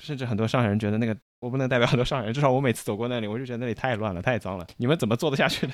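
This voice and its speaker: On a very clean recording with a silent background, a man talks at a very fast pace with hardly any pauses, a medium pitch, and ordinary pitch variation. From China, Shanghai. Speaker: podcast host. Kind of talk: casual chat.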